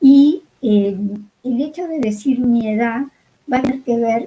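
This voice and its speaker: A woman speaks at a very slow pace in a fairly high, somewhat breathy voice with a dark, mellow tone and ordinary pitch variation. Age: 80s+. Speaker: music educator. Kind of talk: online talk.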